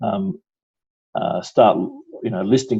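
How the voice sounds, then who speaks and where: An Australian accent from a man with a dark, mellow tone, moderate pace and a quiet background. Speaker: stock exchange executive. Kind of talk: interview. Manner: halting, many fillers.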